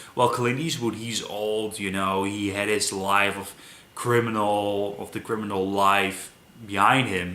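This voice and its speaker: A man with a non-native accent talks at a fairly low pitch, fairly slowly and with fairly even intonation. Noticeable background noise and audible room echo fill the recording. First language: not English. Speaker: movie reviewer. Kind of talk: casual film review monologue. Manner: halting, many fillers.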